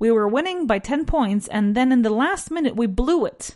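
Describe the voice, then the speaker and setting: Her delivery is fairly quick, and this woman's intonation stays lively throughout. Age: 30s. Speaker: English teacher. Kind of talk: language lesson.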